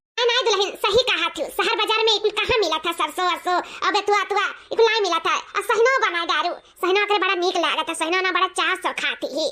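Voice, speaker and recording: A woman puts on a cartoonish character voice at an extremely high pitch. She talks at a fairly quick pace. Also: ordinary pitch variation. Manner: homely, rustic.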